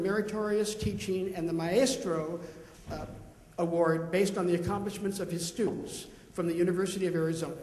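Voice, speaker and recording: Over noticeable background noise and audible room echo, a man talks in a high pitch with fairly even intonation. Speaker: panel moderator, music teacher. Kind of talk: panel introduction. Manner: fast.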